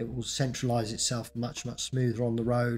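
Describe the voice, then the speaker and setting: A man talks at a moderate pace with monotone, flat intonation. Music plays in the background. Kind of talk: tutorial narration.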